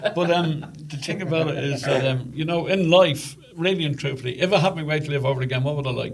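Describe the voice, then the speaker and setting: A man with an Irish accent speaks very fast, with hardly any pauses and a fairly high pitch. His intonation is fairly even, and there is noticeable background noise. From Ireland. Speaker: podcast host's father. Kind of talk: casual chat. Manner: halting, repeats words.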